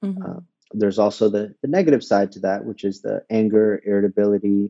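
A man speaks in a plain, everyday voice at a fairly low pitch. He keeps a moderate pace. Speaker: Ayurvedic practitioner. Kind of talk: interview. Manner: many fillers and repetitions.

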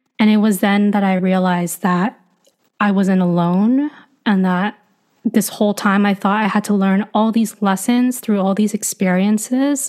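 A woman speaks at a medium pitch and a moderate pace. Her intonation is fairly even and her loudness very even. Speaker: coach and creator. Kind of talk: casual interview chat.

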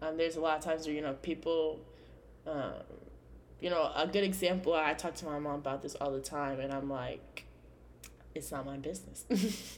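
With an American accent, a woman speaks at a very deep, low pitch with vocal fry, fairly even intonation, and long, frequent pauses. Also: moderate pace. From California. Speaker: podcast host. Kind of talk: casual solo podcast monologue.

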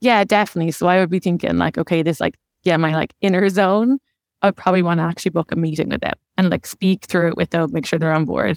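A fairly low-pitched woman with an Irish accent at a very fast pace, dry and close with no echo, on a very clean recording with a silent background. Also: ordinary pitch variation. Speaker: tech operations manager. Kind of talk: interview.

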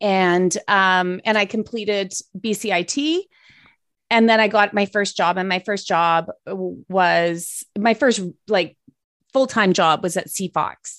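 A woman with a Canadian accent speaks at a fairly slow pace with ordinary pitch variation, a plain, everyday voice. The recording is very clean, with a silent background. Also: medium pitch for a woman. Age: 50s. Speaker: former TV news broadcaster and health advocate. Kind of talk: casual interview.

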